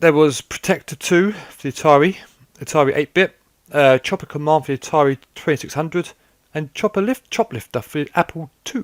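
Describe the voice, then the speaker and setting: A man with a British accent, fairly high in pitch, at a fairly quick pace with ordinary pitch variation, dry and close with no echo, on a very clean recording with a silent background. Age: 30s. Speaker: gaming YouTuber. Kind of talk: casual commentary. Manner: halting, repeats words.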